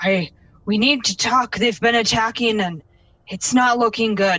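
Someone delivers a put-on character voice at a fairly slow pace. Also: female-sounding voice, fairly high pitch for a woman. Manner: yelling.

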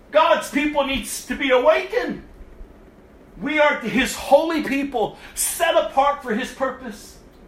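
An extremely high-pitched male voice speaks over noticeable background noise. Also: ordinary pitch variation, fairly slow pace. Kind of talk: sermon, fiery exhortation. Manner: urgent, forceful, scolding; emphatic, repetitive, rising intensity.

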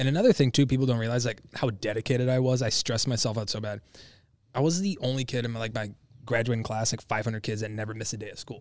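Someone with an American accent talks at a very fast pace with fairly even intonation. The recording is very clean, with a silent background. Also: man, medium pitch for a man. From Michigan. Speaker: social media creator, supplement store worker. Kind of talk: casual chat.

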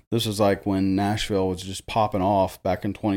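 A man speaks in a Tennessee accent at a moderate pace, his fairly low voice dark and mellow. His intonation stays monotone and flat on a very clean recording with a silent background. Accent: Southern US (Tennessee). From Jackson, Tennessee (US South). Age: 30s. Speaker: DJ. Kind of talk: casual chat. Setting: studio.

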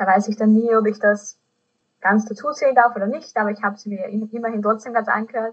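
Somewhat breathy and fairly high-pitched, a woman speaks at a moderate pace with fairly even intonation. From Austria. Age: 20s. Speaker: podcast host. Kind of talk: casual chat.

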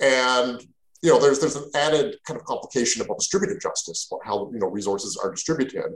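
Speech in a Canadian accent comes at a very fast pace. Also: man. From Canada. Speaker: philosophy professor. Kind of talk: interview on a podcast. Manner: repetitive, halting with many fillers.

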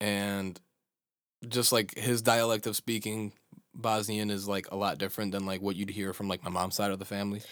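A man with an American accent speaks at a moderate pace in a flat monotone at a fairly low pitch, in a very clean recording with a silent background. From US Midwest, Chicago. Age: 20s. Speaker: podcast co-host. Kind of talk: casual chat. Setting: studio.

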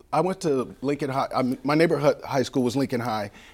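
A man with an American accent speaks at a fairly high pitch with ordinary pitch variation. The recording is very clean with a silent background. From US West Coast, Southeast San Diego. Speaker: author and professor. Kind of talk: interview. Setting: studio. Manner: halting, many fillers and restarts.

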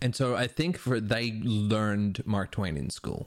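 An unremarkable speaking voice: a man at medium pitch, moderate pace and ordinary pitch variation. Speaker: podcast guest. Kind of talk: casual chat. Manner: profane, casual.

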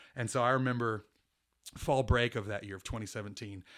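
This man has a normal speaking voice, an American accent and medium pitch. He speaks at a moderate pace with fairly even intonation on a very clean recording with a silent background. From Kansas and Houston, Texas. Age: 40. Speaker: church minister. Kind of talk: casual interview.

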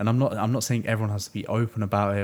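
In a very clean recording with a silent background, a man with a British accent and a fairly low pitch speaks at a fairly quick pace with fairly even intonation. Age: 20s. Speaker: podcast host. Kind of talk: casual chat. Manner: laughs often.

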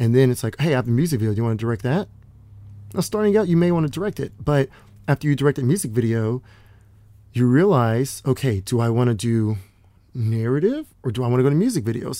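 Talking at a very fast pace yet with long, frequent pauses, a man with an American accent has a medium pitch and a dark, mellow tone. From Texas, Dallas. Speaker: film crew member and aspiring director. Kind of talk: interview.

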